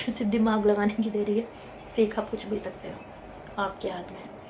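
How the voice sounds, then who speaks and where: Against noticeable background noise, a woman speaks at a fairly slow pace in a fairly high voice. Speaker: motivational YouTuber. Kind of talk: motivational talk to camera. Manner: conversational.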